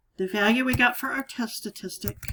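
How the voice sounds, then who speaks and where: A woman with a fairly high pitch talks at a fairly slow pace with lively intonation in an ordinary speaking voice. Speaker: statistics teacher. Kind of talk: tutorial.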